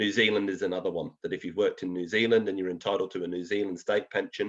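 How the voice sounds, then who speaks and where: A man speaks with a slight English accent. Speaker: financial planner presenter. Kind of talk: educational webinar presentation. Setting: online webinar. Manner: conversational, with fillers.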